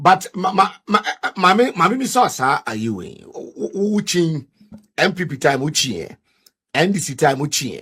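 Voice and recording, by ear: A man speaks at a fairly high pitch with big pitch swings, a fairly bright tone and a slightly husky edge. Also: moderate pace.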